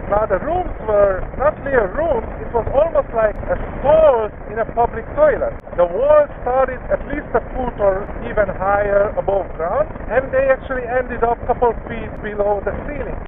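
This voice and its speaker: With noticeable background noise behind him, a man talks at an extremely high pitch, with ordinary pitch variation. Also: moderate pace. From Hungary. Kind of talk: casual vlog talk while riding. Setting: outdoors, windy, on a motorcycle at night.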